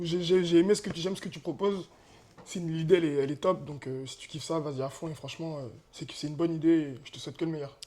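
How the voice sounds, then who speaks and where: A fairly high-pitched man talking very fast, with big swings in loudness, ordinary pitch variation, and noticeable background noise. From France, Eure-et-Loir and Tours area. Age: 30s. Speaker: amateur football player. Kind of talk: interview. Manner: casual, animated.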